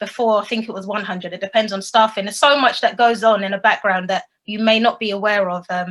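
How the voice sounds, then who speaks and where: Bright and sharp in tone, a woman speaks fairly quickly at a fairly high pitch with fairly even intonation. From London, England. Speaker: secondary school teacher. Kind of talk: educational presentation. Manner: fast.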